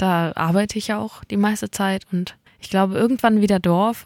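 A woman's plain, everyday voice at medium pitch, moderate pace and fairly even intonation, on a very clean recording with a silent background. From mountain region. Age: 20s. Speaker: singer-songwriter. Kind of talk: interview. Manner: laughs often.

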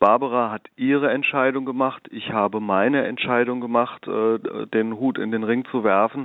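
A man talks at a medium pitch and a moderate pace. His intonation is fairly even, with hardly any pauses. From Germany, Darmstadt (southern Hesse). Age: 50s. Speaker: local politician, mayoral candidate. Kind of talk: political interview. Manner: frequent filler hesitations (äh).

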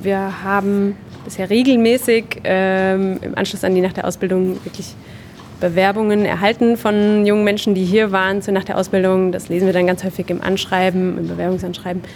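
Monotone, flat speech at a moderate pace over noticeable background noise. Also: woman, medium pitch for a woman. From southern Hesse, Germany. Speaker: apprenticeship marketing staff. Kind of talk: interview. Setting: on-site at company open evening.

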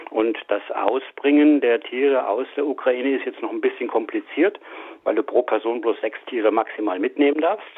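A man's moderately paced speech is heard against noticeable background noise. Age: 60s. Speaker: mechanical engineer and animal welfare volunteer. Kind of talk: interview. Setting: phone call. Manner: halting.

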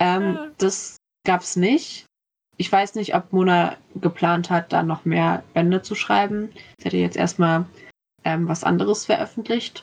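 Here is an ordinary speaking voice from a woman, fairly low in pitch with ordinary pitch variation. She talks at a fairly slow pace against a quiet background. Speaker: university student. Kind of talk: casual book discussion.

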